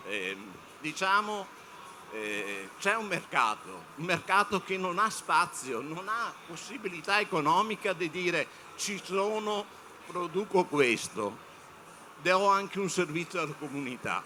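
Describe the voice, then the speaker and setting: With lively intonation and a high pitch, a man speaks very slowly with long, frequent pauses over noticeable background noise. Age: 60s. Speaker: panel speaker on media. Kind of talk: panel talk to students. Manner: halting, many fillers.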